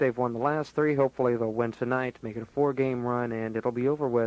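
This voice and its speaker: A man's plain, everyday voice at a medium pitch and a fairly quick pace, dry and close with no echo. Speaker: radio DJ / on-air host. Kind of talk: radio show air check, casual host patter. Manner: casual, jokey, upbeat.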